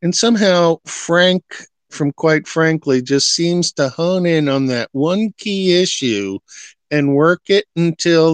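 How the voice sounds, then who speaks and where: A speaker with an American accent talks fairly slowly with lively intonation and very even loudness, the sound dry and close with no echo over a quiet background. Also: man. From New York. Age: 60s. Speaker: live stream host. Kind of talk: casual chat.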